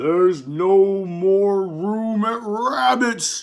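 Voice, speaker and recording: A put-on character voice at middle pitch, very slow pace. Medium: read story.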